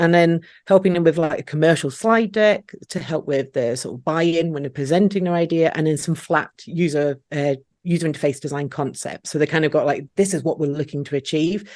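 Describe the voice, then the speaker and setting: A woman speaks with a Scottish accent in a very deep, low voice. Her pace is fairly quick, and her pitch varies in an ordinary way. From Scotland. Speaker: freelance marketing designer. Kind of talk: podcast interview. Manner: relaxed.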